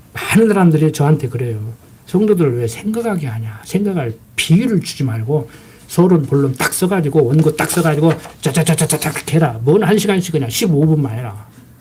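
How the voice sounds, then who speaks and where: Fairly quick, lively speech from a man with a fairly high pitch, over noticeable background noise. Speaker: pastor. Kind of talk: sermon. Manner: fast.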